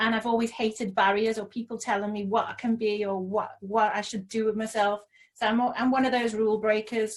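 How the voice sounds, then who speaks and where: Speaking with a Liverpool accent, a woman delivers her words at a fairly quick pace in a fairly high pitch with monotone, flat intonation. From Liverpool, England (Toxteth). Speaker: social entrepreneur. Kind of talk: interview.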